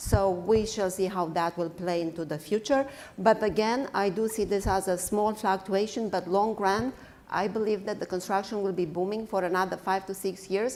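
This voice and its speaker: With a non-native accent, a woman speaks at a medium pitch and a moderate pace, her intonation fairly even. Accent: foreign. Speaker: construction executive. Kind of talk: panel discussion. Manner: hesitant, many fillers.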